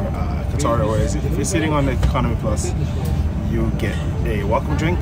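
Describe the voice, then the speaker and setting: The speaker talks at a fairly quick pace. Loud music plays in the background. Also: man. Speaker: travel vlogger. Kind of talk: casual vlog chat. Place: plane. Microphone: phone near.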